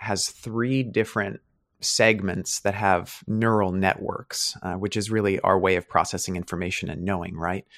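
Recorded very cleanly against a silent background, a man speaks at a fairly slow pace in a dry, close sound with no echo. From US West, rural Oregon. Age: 30s. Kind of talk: interview conversation.

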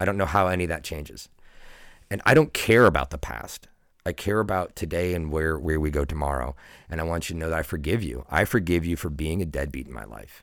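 A man's very deep, low voice with vocal fry, an animated tone, ordinary pitch variation and a very fast pace, on a very clean recording with a silent background. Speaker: water polo coach. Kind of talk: casual chat. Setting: studio.

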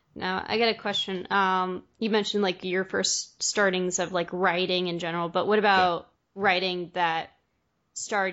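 A woman speaks at a moderate pace and medium pitch. Her intonation is monotone and flat. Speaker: podcast host and interviewer. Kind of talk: casual interview chat. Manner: friendly, laughs often.

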